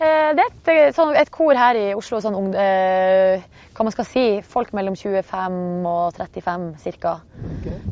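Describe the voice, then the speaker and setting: At a very slow pace, a woman talks at medium pitch. Her pitch swings very widely. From Northern Norway (Hamarøy). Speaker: radio host. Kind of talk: casual chat. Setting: outdoors.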